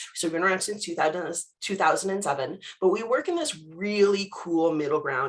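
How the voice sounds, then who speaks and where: Speaking with a Canadian accent, a woman uses an ordinary speaking voice. She moves at a fairly quick pace with ordinary pitch variation. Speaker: cybersecurity company presenter. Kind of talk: webinar presentation. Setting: video call. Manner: casual, conversational.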